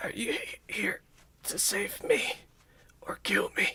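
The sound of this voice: This is a put-on character voice with a raspy quality. It moves at a fairly slow pace.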